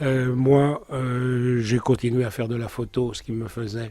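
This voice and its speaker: On a very clean recording with a silent background, a man with a medium-pitched voice speaks at a very slow pace. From Alpes de Haute-Provence, France. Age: 70s. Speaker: olive grower, former photographer. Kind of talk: interview monologue.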